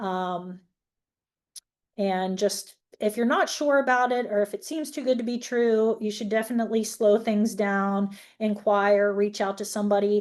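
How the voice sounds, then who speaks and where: Against a quiet background, a woman with a plain, everyday voice speaks at a moderate pace with a fairly high pitch and fairly even intonation. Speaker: federal law enforcement agent. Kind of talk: webinar presentation. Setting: online webinar.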